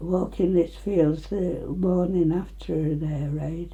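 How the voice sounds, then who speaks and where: A woman with an East Midlands accent at a very slow pace, with audible room echo. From England, Nottinghamshire (Retford). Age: 90s. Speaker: elderly local resident. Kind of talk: oral history interview.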